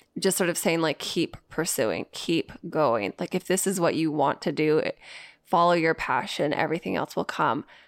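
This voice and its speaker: In a plain, everyday voice, a woman speaks at a fairly low pitch and moderate pace with ordinary pitch variation, in a very clean recording with a silent background and a dry, close sound with no echo. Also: very even loudness. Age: 30s. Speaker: podcast co-host. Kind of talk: casual chat.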